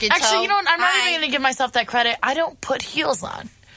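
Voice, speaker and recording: A woman speaks with a Midwestern American accent. Her pace is fairly quick. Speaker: college radio show co-host. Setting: radio studio.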